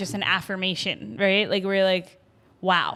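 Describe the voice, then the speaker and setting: An animated tone comes through. The background is silent and the recording very clean. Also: woman. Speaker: podcast co-host. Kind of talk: casual chat. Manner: loud.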